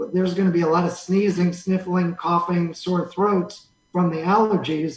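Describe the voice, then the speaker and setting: A man speaks at a high pitch. His pace is moderate. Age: 60s. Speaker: radio station owner and coronavirus patient. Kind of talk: interview.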